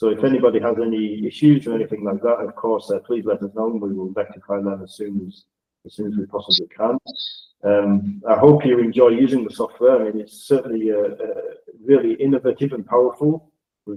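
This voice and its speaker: A man with a Northern English accent talks at a fairly quick pace, his loudness swinging widely. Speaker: project data manager presenting software. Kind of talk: webinar presentation. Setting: video call.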